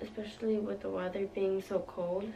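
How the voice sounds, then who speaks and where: A woman speaks with fairly even intonation while music plays in the background. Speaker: beauty YouTuber. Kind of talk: makeup tutorial talk to camera. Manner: monotone.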